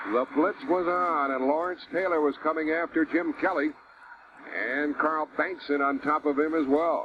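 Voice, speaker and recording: Over noticeable background noise, a man talks at a moderate pace with fairly even intonation and very even loudness. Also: fairly high pitch for a man. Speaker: radio play-by-play announcer. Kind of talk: live sports radio play-by-play.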